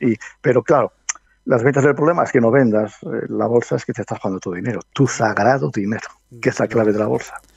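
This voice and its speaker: At a very fast pace, a man talks in a medium pitch with ordinary pitch variation, the sound dry and close with no echo. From Spain, Medina del Campo (Valladolid). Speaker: stock market analyst and professor. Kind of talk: interview.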